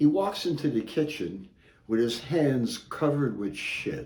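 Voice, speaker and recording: A man's fairly high voice, very slow, with vocal fry and audible room echo. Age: 70s. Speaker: amateur joke teller. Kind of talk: casual joke telling; casual introduction. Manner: halting, with many fillers.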